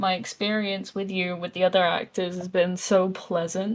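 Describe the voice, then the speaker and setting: In an English accent, a woman at a medium pitch speaks at a moderate pace. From England. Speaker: voice actor. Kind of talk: casual interview.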